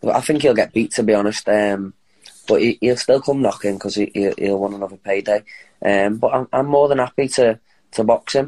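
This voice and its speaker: In a Liverpool accent, a man with a medium pitch speaks at a fairly quick pace with ordinary pitch variation. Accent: Liverpool (Scouse). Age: 30s. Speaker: professional boxer. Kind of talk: interview.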